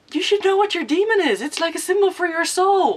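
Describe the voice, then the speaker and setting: A woman talks fairly quickly while noticeable background noise runs underneath. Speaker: book vlogger. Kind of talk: casual talk to camera.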